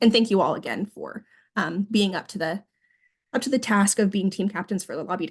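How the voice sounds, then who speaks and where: Over a quiet background, a woman speaks at a fairly quick pace and medium pitch. Her voice is somewhat breathy, with ordinary pitch variation. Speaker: government relations staffer. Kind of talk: training presentation. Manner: fast; hesitant with many fillers.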